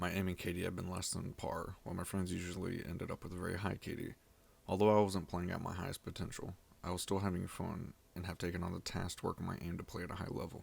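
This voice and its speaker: Over a very clean recording with a silent background, a man talks at a very fast pace with a very deep, low pitch. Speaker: gamer. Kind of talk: gaming video voice-over narration. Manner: monotone.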